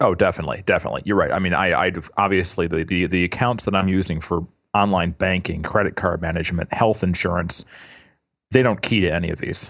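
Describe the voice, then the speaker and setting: Over a quiet background, a man with a very deep, low pitch speaks at a very fast pace with fairly even intonation. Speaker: podcast co-host. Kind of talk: casual chat.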